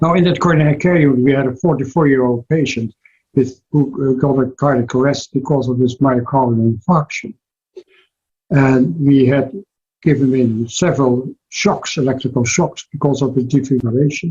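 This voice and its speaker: With a Dutch accent, a man speaks at a medium pitch and moderate pace in a dark, mellow, somewhat breathy tone, with fairly even intonation and very even loudness, in a dry, close sound with no echo. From Netherlands. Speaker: cardiologist. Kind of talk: interview. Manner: halting.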